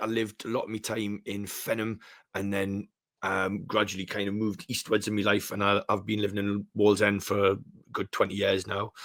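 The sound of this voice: With a Geordie accent, a man talks at a moderate pace in a fairly low pitch. His tone is fairly bright and his intonation monotone and flat. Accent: Geordie, Newcastle.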